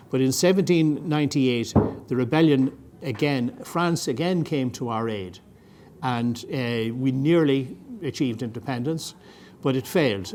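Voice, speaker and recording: A man with an Irish accent at medium pitch, moderate pace and ordinary pitch variation. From Ireland. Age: 70s. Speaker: retired army officer. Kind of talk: lecture. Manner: halting.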